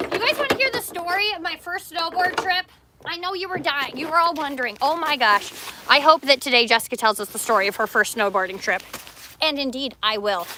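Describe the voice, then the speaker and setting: Over noticeable background noise, a woman speaks in a raised, projected voice. She is high-pitched, with very wide pitch swings. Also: fairly quick pace. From Canada. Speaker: coffee shop owner and livestreamer. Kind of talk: casual livestream chat. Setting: outdoors. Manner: animated.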